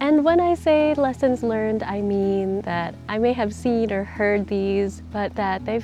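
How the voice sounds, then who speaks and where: A woman speaks quietly. Music plays in the background. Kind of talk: casual reflective talk to camera. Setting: outdoors.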